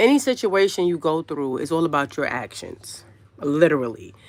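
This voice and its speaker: A woman in a New York accent, fairly low in pitch, animated in tone with lively intonation at a moderate pace, in a very clean recording with a silent background. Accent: New York City. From Brooklyn, New York. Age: 40s. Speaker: YouTube livestreamer. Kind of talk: casual live stream chat. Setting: livestream.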